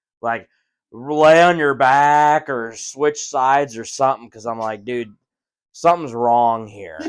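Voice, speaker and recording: A man with a medium pitch speaks fairly slowly, his loudness swinging widely and his pitch varying in an ordinary way. The recording is very clean, with a silent background. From Wisconsin. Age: young. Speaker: podcast co-host. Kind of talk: casual chat.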